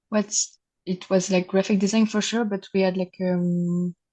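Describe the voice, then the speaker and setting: Medium-pitched and somewhat breathy, a woman's dark, mellow tone in a French accent, with fairly even intonation. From France. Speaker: tattoo artist. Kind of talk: interview. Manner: halting.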